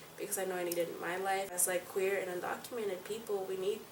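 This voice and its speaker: A woman's medium-pitched voice at a very fast pace, with ordinary pitch variation, noticeable background noise and audible room echo. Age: 20s. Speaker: activist. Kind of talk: interview.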